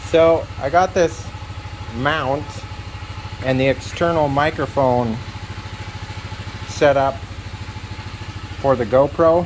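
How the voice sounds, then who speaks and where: Speech comes at a very slow pace with long, frequent pauses. Background noise is noticeable. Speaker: motorcycle vlogger. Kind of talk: casual vlog talk. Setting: riding a motorcycle outdoors. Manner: loud, yelling.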